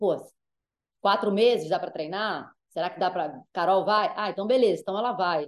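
The tone is animated and the pace moderate. The background is quiet. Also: woman. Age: 40s. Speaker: sports journalist. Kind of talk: interview. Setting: video call.

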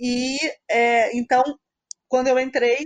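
High-pitched female voice, close-up and dry, free of any echo. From Niterói, Brazil. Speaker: mathematics professor. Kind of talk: casual chat.

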